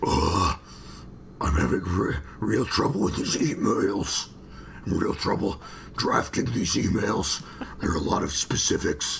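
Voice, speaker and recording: Using a put-on, gravelly character voice, a man speaks fairly slowly at a fairly low pitch, with very even loudness and long, frequent pauses. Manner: strained, stressed.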